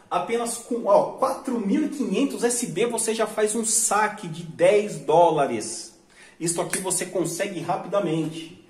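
Speaking very slowly, a high-voiced man lets his intonation rise and fall lively as noticeable noise fills the background. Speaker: online money-making youtuber. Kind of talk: sales pitch; screen-share tutorial.

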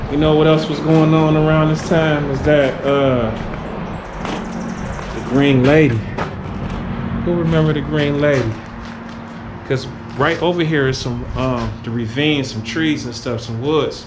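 Speaking at a fairly slow pace with long, frequent pauses, a man is heard over noticeable background noise. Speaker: urban explorer vlogger. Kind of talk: casual vlog chat. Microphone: phone near.

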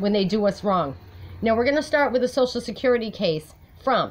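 A woman with vocal fry speaks at a moderate pace. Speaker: personal advocate vlogger. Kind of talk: casual vlog chat. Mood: aggrieved, determined. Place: home room. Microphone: phone near.

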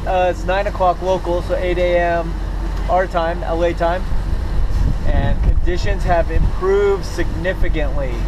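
A man talks fairly slowly with noticeable noise in the background. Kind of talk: casual vlog chat. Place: boat. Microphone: phone near.

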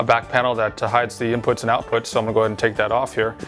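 Clear music fills the background. Over it, a man talks. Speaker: presenter. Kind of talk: product demonstration. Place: studio. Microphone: lapel.

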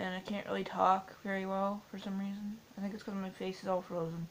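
Over light background noise, a woman speaks at a fairly quick pace in a monotone, flat intonation. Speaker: vlogger. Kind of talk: casual vlog chat. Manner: numb-mouthed, slurred post-surgery speech. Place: home room. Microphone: webcam.

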